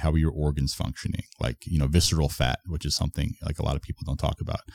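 With an American accent, a man speaks at a very fast pace in a very deep, low pitch, his dark, mellow tone carrying vocal fry, captured with a dry, close sound and no echo. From US, Long Island, New York. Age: 30s. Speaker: fitness coach. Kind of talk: casual chat. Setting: in person studio.

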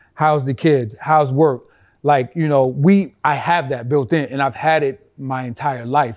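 Delivered at a fairly slow pace with fairly even intonation, the speech sits on a very clean recording with a silent background. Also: man, fairly high pitch for a man. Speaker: DJ. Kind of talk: casual chat.

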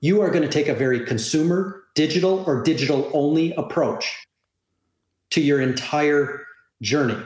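A man with a Canadian accent speaks in a plain, everyday voice at a moderate pace, his pitch fairly high with ordinary variation and his loudness very even. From Canada. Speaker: industry analyst. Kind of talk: interview. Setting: remote call.

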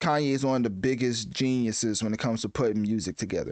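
The man talks at a fairly quick pace with a medium pitch, ordinary pitch variation and an animated tone. The background is quiet. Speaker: podcast host. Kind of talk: commentary on celebrity news, casual and opinionated. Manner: animated, stumbling, repeats words.

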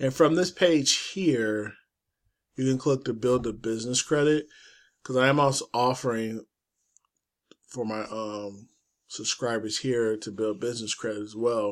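Over a very clean recording with a silent background, a man speaks at a medium pitch and a fairly slow pace, with ordinary pitch variation and long, frequent pauses. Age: 40s. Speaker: forex trading YouTuber. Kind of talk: casual screen-share tutorial. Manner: casual, loose delivery with fillers.

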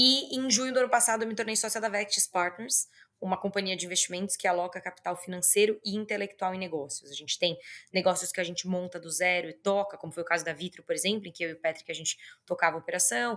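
In a very clean recording with a silent background, a woman with a bright, sharp tone talks at a very fast pace, using a medium pitch and ordinary pitch variation. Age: 30s. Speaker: business executive and entrepreneur. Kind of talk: interview.

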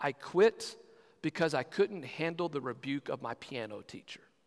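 Recorded dry and close with no echo, a man uses a normal speaking voice with a fairly high pitch and lively intonation. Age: 40s. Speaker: pastor. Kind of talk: sermon.

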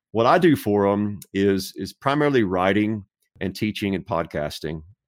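An ordinary speaking voice with an American accent, moderate pace and ordinary pitch variation, over a silent background in a very clean recording. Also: man. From Texas. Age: 50s. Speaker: theologian and author. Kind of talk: casual interview.

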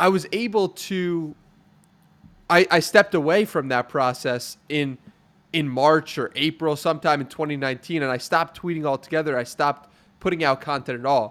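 A plain, everyday voice talks at a moderate pace. Its pitch varies in an ordinary way. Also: man, fairly high pitch for a man. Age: 20s. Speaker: podcaster and writer. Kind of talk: interview conversation. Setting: video call.

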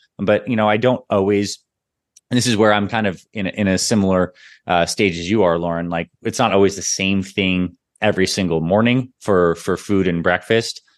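With a Canadian accent, a man speaks at a very deep, low pitch. His pace is fairly quick, his intonation fairly even, and the background quiet. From Toronto, Canada. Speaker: naturopathic doctor and fitness company founder. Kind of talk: interview.

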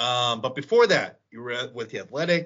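A man's voice swings very widely in pitch and carries vocal fry. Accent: American. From Illinois, Chicago suburbs. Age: 30s. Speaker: sports podcast host. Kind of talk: casual chat.

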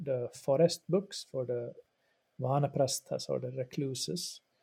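A man with a Swedish accent and a somewhat breathy, dark, mellow tone speaks at a moderate pace in a fairly high pitch with ordinary pitch variation, the sound dry and close with no echo. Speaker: religious studies professor and yoga practitioner. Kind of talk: interview, explanatory. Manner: halting, with repetitions.

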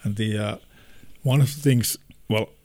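A man with a Finnish accent talks at a moderate pace in a dark, mellow tone with ordinary pitch variation. The recording is very clean, the background silent. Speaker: podcast host. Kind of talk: casual chat.

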